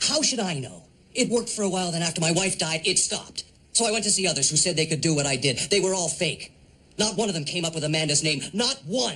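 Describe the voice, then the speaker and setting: Speaking very fast, a man uses a high voice with lively intonation. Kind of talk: scripted drama dialogue. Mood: bitter, dismissive, grieving. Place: office.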